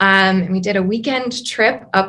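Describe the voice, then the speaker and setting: At a fairly slow pace, a woman with an Upper Midwest accent speaks at medium pitch with ordinary pitch variation. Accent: Upper Midwest American. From northern Wisconsin, US. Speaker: geology professor. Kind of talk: interview. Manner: frequent fillers (um).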